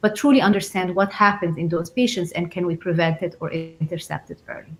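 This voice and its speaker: Somewhat breathy, a woman talks at a fairly quick pace in a fairly low pitch. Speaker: physician researcher. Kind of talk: expert panel talk. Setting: live stream. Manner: fast.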